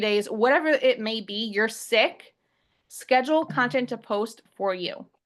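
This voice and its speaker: The background stays quiet while a woman talks. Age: 20s. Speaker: online business coach. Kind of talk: webinar presentation. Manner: fast; loud.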